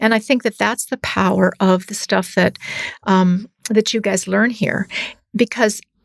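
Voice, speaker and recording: A woman with a Canadian accent has a normal speaking voice at a medium pitch, talking at a fairly slow pace with fairly even intonation in a dry, close sound with no echo. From northern Canada. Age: 60s. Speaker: business professor. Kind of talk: podcast interview. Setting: studio sound booth.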